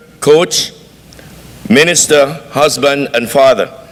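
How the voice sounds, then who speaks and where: A man talks at a moderate pace with ordinary pitch variation amid noticeable background noise. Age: 60s. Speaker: graduate speaker, pastor. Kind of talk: speech. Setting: graduation banquet, stage with audience. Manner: formal.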